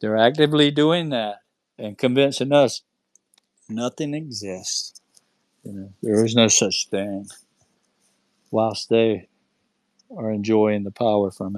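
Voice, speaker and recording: The pace is fairly slow, with long, frequent pauses and ordinary pitch variation. The sound is dry and close with no echo, and the loudness swings widely. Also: man, medium pitch for a man. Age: 60s. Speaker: UFO experiencer. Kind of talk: casual chat. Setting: online audio space.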